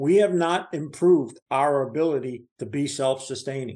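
A man with an American accent and an ordinary speaking voice, a fairly high pitch and ordinary pitch variation, at a moderate pace. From New Jersey. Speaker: market commentator. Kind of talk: casual chat.

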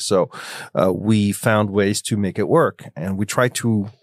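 With a French accent, a medium-pitched man talks at a fairly quick pace in a very clean recording with a silent background and a dry, close sound with no echo. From Switzerland, France and Belgium. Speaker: music conservatory founder. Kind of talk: interview conversation.

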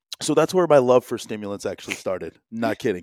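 A man with an American accent and an ordinary speaking voice, medium pitch, lively intonation, fairly quick pace, dry, close sound with no echo, very clean recording, silent background. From New Jersey, US. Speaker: entrepreneur. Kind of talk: casual chat.

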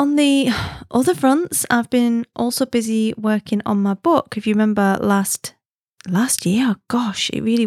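In a dry, close sound with no echo, a woman's slightly mellow tone carries ordinary pitch variation.

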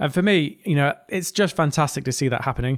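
Speaking at a fairly quick pace with a slight northeast English accent, a man with a fairly high pitch and ordinary pitch variation sounds dry and close, with no echo. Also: very clean recording, silent background. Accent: northeast English, mild. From northeast England. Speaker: podcast host, engineer and business leader. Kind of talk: podcast monologue.

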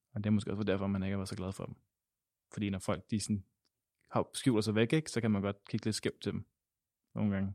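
A man's fairly low voice at a fairly quick pace, very cleanly recorded against silence, dry and close with no echo. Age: 20s. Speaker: theology student. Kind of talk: interview. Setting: synagogue.

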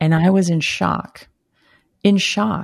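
Somewhat breathy and fairly low in pitch, a woman speaks with an American accent. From US South, Brownsville, Texas. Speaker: former sex education teacher. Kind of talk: testimony.

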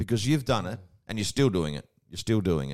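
A man with an Australian accent speaks in a fairly low pitch. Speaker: podcast co-host. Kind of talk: casual podcast chat. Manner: jovial, joking.

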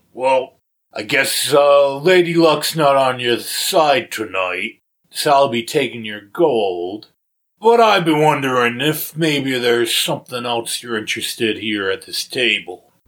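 Putting on a character voice, a man speaks at medium pitch and a fairly slow pace with lively intonation. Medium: actual play. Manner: drawling, condescending.

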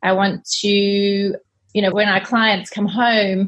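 Here a woman speaks at a very slow pace and a medium pitch. Her voice is somewhat breathy, with fairly even intonation. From South Africa. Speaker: cleaning business cofounder. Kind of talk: podcast interview.

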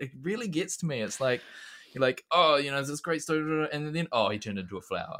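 The delivery is very fast, with lively intonation and a bright, sharp tone. The voice has a New Zealand accent. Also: man, fairly high pitch for a man. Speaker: secondary school teacher and classics meme creator. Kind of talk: casual chat.

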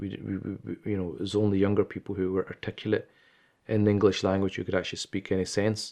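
In a Glaswegian accent, the voice rushes at a very fast pace with monotone, flat intonation over a quiet background. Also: man. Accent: Glaswegian Scottish. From Scotland, Glasgow. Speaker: Islamic scholar. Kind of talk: interview.

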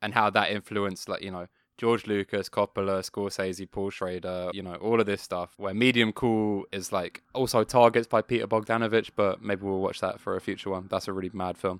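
The speaker has a British accent and talks at a fairly quick pace with hardly any pauses and flat, monotone intonation, recorded very cleanly with a silent background and a dry, close sound with no echo. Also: man, fairly low pitch for a man. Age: 20s. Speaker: podcast co-host and rock musician. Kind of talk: casual chat.

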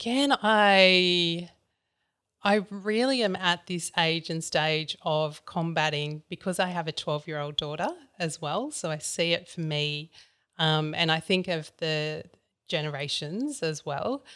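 A woman with a plain, everyday voice speaks at a fairly slow pace and fairly low pitch, on a very clean recording with a silent background. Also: ordinary pitch variation. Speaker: podcast host. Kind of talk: interview conversation.

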